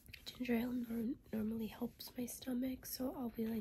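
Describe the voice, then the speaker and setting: Over light background noise, a woman talks at a moderate pace in a monotone, flat intonation. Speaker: vlogger. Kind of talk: casual vlog chat. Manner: weak, queasy, nauseous voice. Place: home room. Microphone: phone near.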